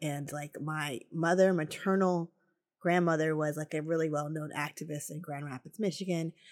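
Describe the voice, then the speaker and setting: A woman speaks in a normal speaking voice at a moderate pace, her pitch fairly low with ordinary variation. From New Jersey, Morris County. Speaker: author. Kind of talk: casual chat. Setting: video call.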